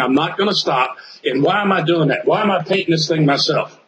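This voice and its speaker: Speaking at a very fast pace over noticeable background noise, a man has a fairly high pitch. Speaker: real estate investor and police detective. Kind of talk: interview storytelling. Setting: interview.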